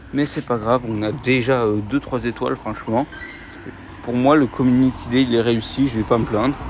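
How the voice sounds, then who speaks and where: A man speaks at a moderate pace and medium pitch, with noticeable background noise behind him. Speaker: gaming YouTuber. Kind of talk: mobile game commentary while playing outdoors. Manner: animated.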